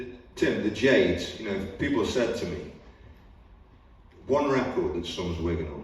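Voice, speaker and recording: A man is speaking. Audible room echo and noticeable background noise accompany him. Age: 60s. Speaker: northern soul DJ and panelist. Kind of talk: panel discussion. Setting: museum event with audience. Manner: animated.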